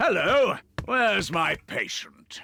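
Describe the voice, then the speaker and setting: This is a cartoonish character voice. Its pitch is fairly high. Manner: warm, reassuring.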